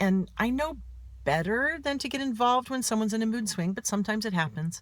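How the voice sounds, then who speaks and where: An unremarkable speaking voice with lively intonation and a fairly quick pace, in a very clean recording with a silent background. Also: woman. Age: 50s. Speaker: author and mental health speaker. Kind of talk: personal vlog monologue.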